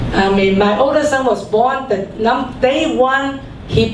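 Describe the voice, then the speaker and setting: A high-pitched woman at a fairly slow pace, with audible room echo and noticeable background noise. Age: 60s. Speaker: health product distributor. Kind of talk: sales pitch; testimony.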